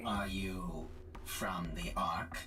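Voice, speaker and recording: Someone performs in a put-on character voice. Loud noise fills the background. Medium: game stream. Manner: terse, commanding.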